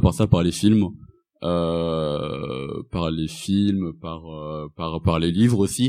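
In a very clean recording with a silent background, a man speaks with a very deep, low pitch, a dark, mellow tone and ordinary pitch variation. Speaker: student and anti-racist activist. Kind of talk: live panel discussion. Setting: stage with audience.

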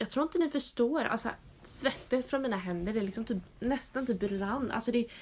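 Her voice is fairly high. Its pitch moves in an ordinary way. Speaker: podcast host. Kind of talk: casual chat.

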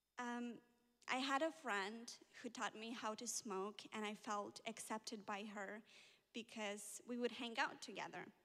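This woman has a bright, sharp tone and fairly even intonation. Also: fairly high pitch for a woman, fairly slow pace. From Ukraine. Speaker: church member. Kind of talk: testimony.

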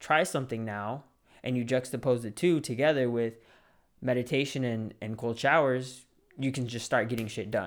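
A man at medium pitch with a plain, everyday voice, a moderate pace, and a very clean recording with a silent background. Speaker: podcast host, aspiring real estate agent. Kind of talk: motivational talk. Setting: solo recording at a mic. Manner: casual, conversational.

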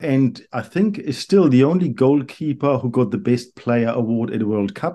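At a moderate pace, a man with a German accent speaks at a medium pitch in a dark, mellow tone with lively intonation. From Germany, Karlsruhe. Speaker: economics professor. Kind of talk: interview. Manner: halting, repeats words.

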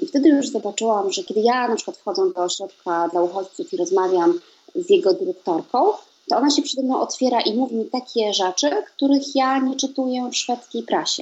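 Speech moves at a fairly quick clip. Its pitch rises and falls across a very wide range. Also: woman, high pitch for a woman. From Poland. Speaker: writer and translator. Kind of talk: interview.

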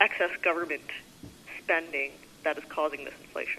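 A woman with a Canadian accent. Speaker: journalist. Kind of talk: press conference questions. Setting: phone call.

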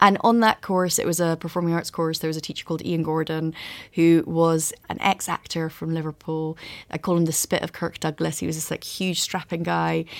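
Speaking at a fairly quick pace with a Scottish accent, a woman with a fairly low pitch delivers flat, monotone lines in a very clean recording with a silent background. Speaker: author. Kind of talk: interview.

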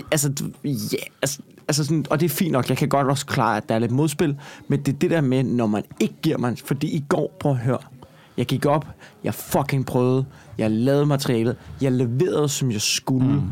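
Against noticeable background noise, a man with a fairly high pitch and ordinary pitch variation keeps his loudness very even and takes long, frequent pauses. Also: moderate pace. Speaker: stand-up comedian. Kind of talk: casual chat. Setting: recorded at a comedy festival.

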